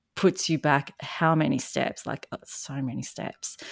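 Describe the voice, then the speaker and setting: A woman talks at a fairly slow pace with a very deep, low pitch. The recording is very clean, with a silent background and a dry, close sound with no echo. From Australia. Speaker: narcissistic abuse recovery coach. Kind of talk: casual interview chat.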